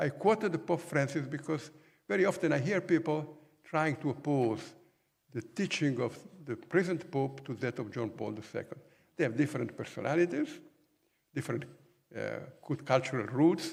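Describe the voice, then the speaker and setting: A man with an Italian accent speaks at a moderate pace in a fairly high, somewhat breathy voice. His pitch varies in an ordinary way, and he leaves long, frequent pauses. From Italy. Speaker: professor. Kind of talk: lecture.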